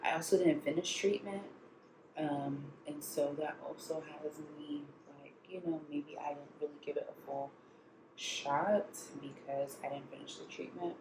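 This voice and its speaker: This woman's voice is very deep and low, quiet, with big swings in loudness and fairly even intonation. She speaks at a fairly slow pace over noticeable background noise. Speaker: lifestyle vlogger. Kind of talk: casual vlog talk.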